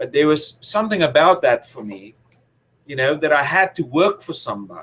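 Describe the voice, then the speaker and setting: The voice carries vocal fry. Its pace is moderate. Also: man. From South Africa. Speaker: financial educator. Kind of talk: interview answer.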